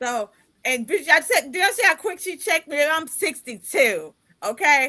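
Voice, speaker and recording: A woman speaks at a moderate pace in a raised, projected voice, her bright, sharp tone animated and her intonation lively. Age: 50s. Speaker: podcast host and life coach. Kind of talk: casual interview chat.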